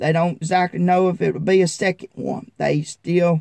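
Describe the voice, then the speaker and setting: With a Southern US accent, a man talks at a fairly slow pace in a high pitch with a dark, mellow tone, and the sound is dry and close with no echo. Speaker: farmer vlogger. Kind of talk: casual vlog talk.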